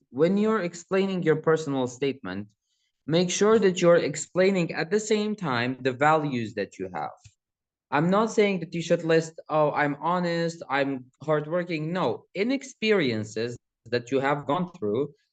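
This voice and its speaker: With a Kurdish accent, a man speaks at a fairly slow pace in a fairly high pitch, his voice making very wide pitch swings. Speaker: student presenter. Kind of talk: tutorial. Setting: university hall seminar. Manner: casual, conversational.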